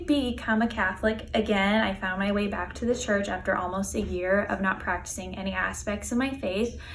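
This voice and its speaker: With an American accent, a woman with a fairly high voice speaks with hardly any pauses, amid audible room echo and noticeable background noise. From Los Angeles, California. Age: 20s. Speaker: viewer asking a question. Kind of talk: recorded video question.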